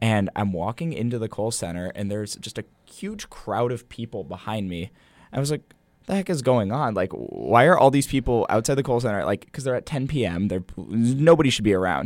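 Here is a man with an unremarkable speaking voice at a medium pitch. He talks at a fairly quick pace with lively intonation. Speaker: college basketball student manager. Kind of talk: casual interview chat.

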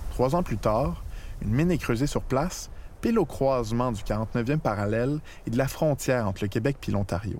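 Speaking at a medium pitch, a man has an unremarkable speaking voice. His pace is moderate and his pitch variation ordinary. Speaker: documentary narrator. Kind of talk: scripted narration.

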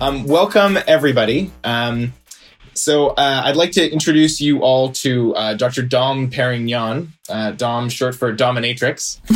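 A man speaks slowly-ish, at a fairly slow pace, with medium pitch and ordinary pitch variation. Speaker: podcast host. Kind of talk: comedy podcast hosting, casual chat.

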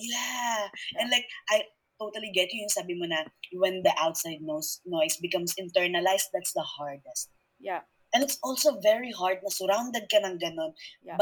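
Her loudness swinging widely, a woman with a medium pitch talks at a fairly quick pace with lively intonation. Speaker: guest. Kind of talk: casual conversation.

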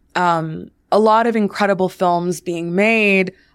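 On a very clean recording with a silent background, a woman with an unremarkable speaking voice talks at a fairly low pitch with fairly even intonation. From US, Washington D.C. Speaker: film producer and entrepreneur. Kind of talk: interview.

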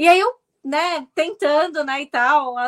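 This woman's voice sits high in pitch. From Brazil, Santos (São Paulo state). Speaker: journalist and political commentator. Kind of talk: interview. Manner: halting with fillers.

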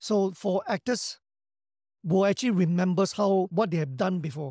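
A man with a Singaporean accent speaks at a high pitch and a moderate pace, his tone dark and mellow. The sound is dry and close with no echo, in a very clean recording with a silent background. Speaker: actor and action director. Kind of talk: interview, casual chat.

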